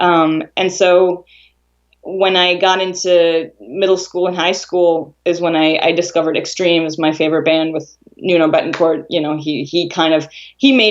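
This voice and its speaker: Speaking with an Israeli accent, a woman keeps a moderate pace, fairly low pitch and fairly even intonation. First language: Hebrew. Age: 30s. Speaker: guitarist. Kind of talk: interview. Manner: casual, many fillers.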